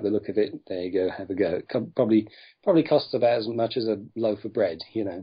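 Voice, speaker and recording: Putting on a character voice, a man speaks at a moderate pace in a raspy, fairly low voice. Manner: slightly excited.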